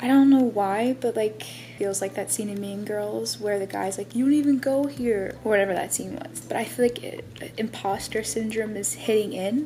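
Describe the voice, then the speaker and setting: A woman with a fairly high pitch and ordinary pitch variation talks at a moderate pace over noticeable background noise. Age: 20s. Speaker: aspiring author and vlogger. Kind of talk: casual vlog talk. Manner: stuttering, halting.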